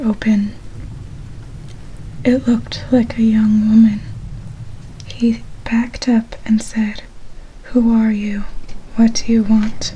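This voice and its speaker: The speech moves at a very slow pace. Noticeable background noise can be heard. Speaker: ASMR channel host. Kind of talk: horror story reading from a book.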